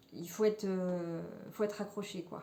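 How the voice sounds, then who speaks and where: A woman's dark, mellow voice at medium pitch, monotone and flat, at a moderate pace, with audible room echo. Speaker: knitting podcaster. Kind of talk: casual chat. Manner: hesitant, many fillers.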